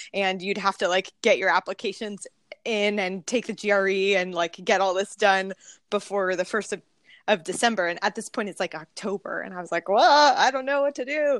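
A woman with an American accent uses a normal speaking voice at medium pitch, with ordinary pitch variation and a moderate pace. The sound is dry and close with no echo, over a quiet background. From California, central coast. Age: 20s. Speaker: pastor. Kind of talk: casual chat.

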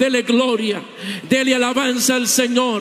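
A man's extremely high pitch rises over noticeable background noise. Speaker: visiting preacher. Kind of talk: sermon. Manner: animated.

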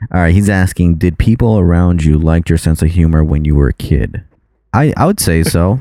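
A man speaks with a very deep, low pitch. His pitch variation is ordinary. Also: moderate pace. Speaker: podcast co-host. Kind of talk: casual chat. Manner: mumbling.

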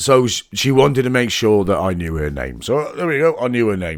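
A man's animated tone and lively intonation on a very clean recording with a silent background. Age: 40s. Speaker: singer and podcast host. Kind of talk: casual storytelling monologue.

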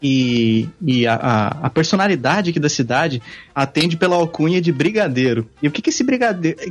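A man talks at a moderate pace and fairly high pitch with lively intonation. His voice is somewhat breathy. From interior of São Paulo state, Brazil. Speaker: podcaster. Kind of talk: casual chat.

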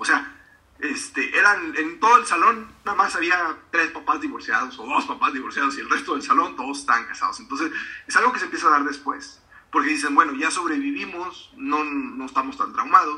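Bright and sharp in tone, a man speaks at a high pitch with very wide pitch swings. He moves at a fairly quick pace. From Mexico, Río Verde, San Luis Potosí. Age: 40s. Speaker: author and speaker. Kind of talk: interview. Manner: halting, many fillers.

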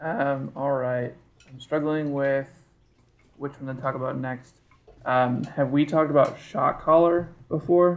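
A man in a plain, everyday voice, fairly high in pitch, at a fairly slow pace, with fairly even intonation and big swings in loudness. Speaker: podcast host. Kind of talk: casual chat.

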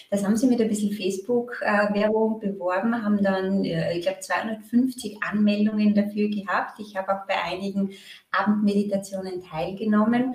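A woman speaks in an ordinary speaking voice at medium pitch. Her pace is moderate and her intonation fairly even. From Austria, Graz. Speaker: marketing consultant. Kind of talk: casual interview.

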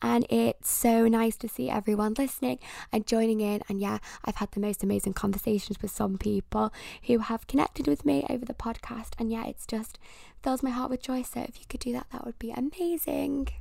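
A woman speaks with a British accent in an animated tone at a fairly quick pace. The recording is very clean, with a silent background. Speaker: podcast host. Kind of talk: casual solo podcast monologue. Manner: animated, rambling.

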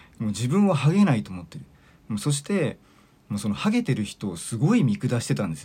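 A man talks at a fairly quick pace with very wide pitch swings. His voice has noticeable vocal fry. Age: 40s. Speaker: podcast host and mental coach. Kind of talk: solo monologue podcast. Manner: casual, filler-heavy.

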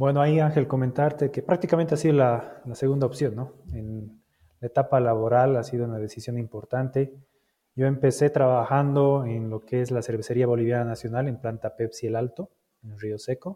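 This man has a plain, everyday voice at a medium pitch, talking at a fairly quick pace. His intonation stays fairly even while his loudness swings widely. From Bolivia. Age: 30s. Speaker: logistics manager. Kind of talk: interview.

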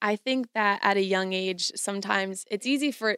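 In a very clean recording with a silent background and a dry, close sound with no echo, a woman has an unremarkable speaking voice, medium in pitch, with ordinary pitch variation. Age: 20s. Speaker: podcast co-host. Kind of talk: casual chat.

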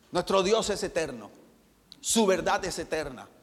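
A man's high-pitched voice comes through a very clean recording with a silent background. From Colombia, Barranquilla. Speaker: pastor. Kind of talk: sermon.

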